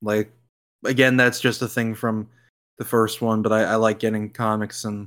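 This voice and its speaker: A man speaks with monotone, flat intonation at a fairly low pitch. The recording is very clean, with a silent background. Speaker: podcast host. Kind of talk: casual chat, video game podcast. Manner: casual, joking, profane.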